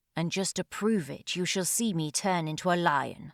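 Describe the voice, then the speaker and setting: In a very clean recording with a silent background, a woman puts on a growling character voice at a fairly low pitch and a moderate pace. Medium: read story. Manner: curt.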